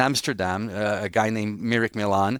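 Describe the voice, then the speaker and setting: A man is heard in dry, close sound with no echo. The recording is very clean, with a silent background. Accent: French Canadian. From Quebec, Montreal. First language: French. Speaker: city nightlife commissioner. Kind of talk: interview conversation. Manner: halting, frequent repetitions and restarts.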